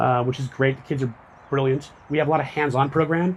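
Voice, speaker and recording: The man's voice is fairly high and somewhat breathy. His intonation stays fairly even. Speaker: public archaeology director giving a talk. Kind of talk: public lecture. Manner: fast.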